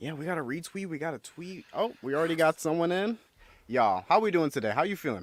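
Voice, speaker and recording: A fairly high-pitched man talking at a very fast pace with lively intonation. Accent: American. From United States. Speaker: podcast co-host. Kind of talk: casual chat. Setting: video call livestream from home. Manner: animated.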